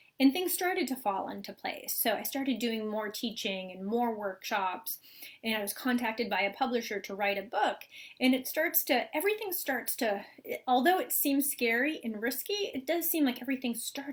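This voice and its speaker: Lively intonation runs through a woman's high-pitched voice. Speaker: spiritual teacher and author. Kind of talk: live talk to online group. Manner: fast.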